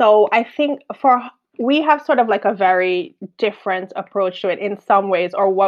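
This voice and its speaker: Lively intonation from a female speaker. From Jamaica. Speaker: construction project manager and quantity surveyor. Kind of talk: podcast interview.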